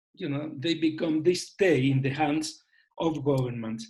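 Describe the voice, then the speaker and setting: With a fairly high pitch and ordinary pitch variation, a man talks at a moderate speed. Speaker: panelist on elections. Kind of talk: webinar presentation. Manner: halting.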